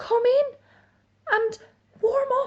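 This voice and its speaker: A woman puts on a character voice, squeaky and extremely high in pitch. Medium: read story. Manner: kind, mild.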